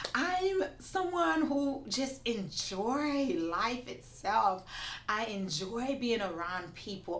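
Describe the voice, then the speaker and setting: A woman's high-pitched, animated voice with very wide pitch swings, plus noticeable background noise and audible room echo. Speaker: immigration attorney. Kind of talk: interview.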